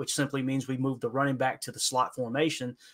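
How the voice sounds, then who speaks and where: The man's voice has a bright, sharp tone at a medium pitch. It is captured in a very clean recording with a silent background. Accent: Appalachian. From Kentucky, Appalachia. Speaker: football podcaster. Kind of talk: podcast interview, football breakdown. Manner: clips syllables, fast when nerding out.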